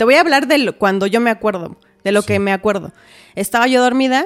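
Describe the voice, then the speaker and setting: This woman speaks with a Mexican accent and a fairly high pitch. The sound is dry and close, with no echo. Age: 30s. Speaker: massage therapist and homemaker. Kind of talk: testimony.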